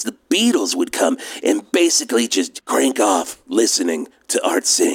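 Using a put-on character voice, a man sounds raspy and keeps a moderate pace.

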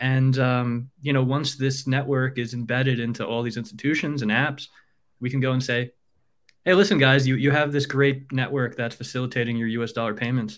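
This man has an unremarkable speaking voice with an American accent and a medium pitch. He talks at a fairly quick pace with fairly even intonation. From New York. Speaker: app developer. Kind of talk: casual chat.

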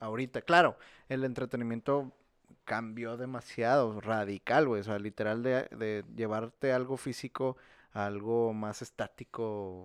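A man of medium pitch with a normal speaking voice at a fairly slow pace and fairly even intonation, dry and close with no echo, against a quiet background. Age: 20s. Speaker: podcast co-host. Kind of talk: casual chat.

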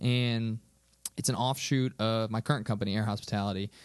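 Over a quiet background, a man speaks in a normal speaking voice at medium pitch with ordinary pitch variation. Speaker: podcast host. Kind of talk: casual chat.

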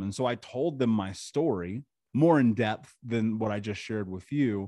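At a moderate pace, a man with an American accent speaks in a dark, mellow tone at medium pitch. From US Midwest, Indianapolis. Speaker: trauma mentor and podcaster. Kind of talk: interview testimony.

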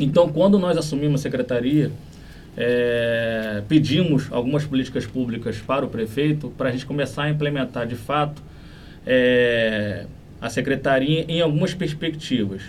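In a room with audible echo, a man talks at a moderate pace and medium pitch, with ordinary pitch variation. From Brazil, Niterói (Rio de Janeiro state). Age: 30s. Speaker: municipal human rights secretary, lawyer. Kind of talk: interview.

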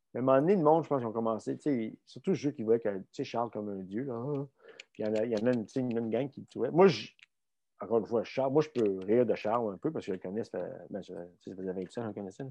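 Speaking in a Quebec accent at a very fast pace, a man with a medium pitch and ordinary pitch variation leaves long, frequent pauses. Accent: Québécois French. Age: 50s. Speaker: strength coach and former Olympic luger. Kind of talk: casual interview. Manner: halting, repeats words.

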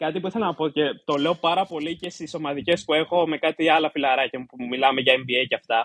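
A man's plain, everyday voice, fairly high in pitch, with ordinary pitch variation, a fairly quick pace and big swings in loudness. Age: 20s. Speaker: doctoral candidate and paying podcast member. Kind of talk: casual chat.

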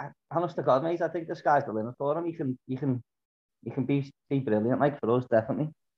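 A man's fairly high-pitched voice races along very quickly. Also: ordinary pitch variation. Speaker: podcast co-host, fan. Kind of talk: casual chat.

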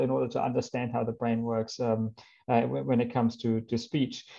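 A dark, mellow voice with a German accent moves at a moderate pace over a quiet background. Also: man. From Germany. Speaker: biomedical engineering professor. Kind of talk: interview. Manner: halting, many fillers.

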